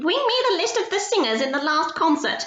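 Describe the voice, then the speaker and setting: In a put-on character voice, a woman squeaks at an extremely high pitch, shrill and fairly quick, with very wide pitch swings but very even loudness. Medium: read story. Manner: imperious, shrill.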